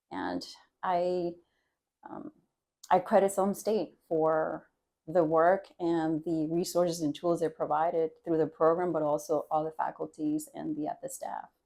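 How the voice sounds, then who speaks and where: A woman speaks with a Spanish accent at a fairly slow pace, her dark, mellow tone fairly low in pitch and her intonation fairly even. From Dominican Republic. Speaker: university trustee board chair. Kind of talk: podcast interview.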